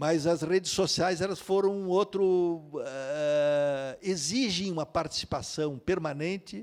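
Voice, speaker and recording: Speaking at a very slow pace with hardly any pauses, a man uses a high pitch with ordinary variation. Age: 70s. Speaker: novelist. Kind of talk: interview at a literary festival. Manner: halting, many fillers and restarts.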